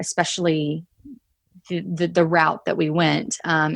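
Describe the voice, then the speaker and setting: With a slight Texas accent, a woman speaks at a moderate pace in a fairly low pitch, her intonation monotone and flat, in a dry, close sound with no echo. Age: 30s. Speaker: traveler who quit her job. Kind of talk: casual interview chat. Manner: hesitant, many fillers.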